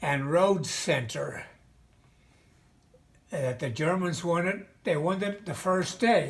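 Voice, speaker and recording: A high-pitched man with an American accent speaks very slowly, with lively intonation, big swings in loudness and long, frequent pauses. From Mahanoy City, Pennsylvania. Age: 80s+. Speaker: World War II veteran. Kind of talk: interview answer. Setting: video call.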